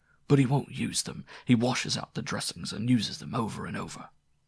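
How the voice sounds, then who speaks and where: At a fairly quick pace, a man uses a raspy, put-on character voice at medium pitch with big swings in loudness. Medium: read story. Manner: halting and laconic, with a lisp.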